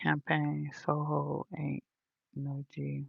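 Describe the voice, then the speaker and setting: Soft-spoken whispering moves at a very slow pace in a dry, close sound with no echo. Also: woman. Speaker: livestreamer. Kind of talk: casual livestream chat. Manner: quiet, sounds like whispering. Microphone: phone mic, volume all the way up.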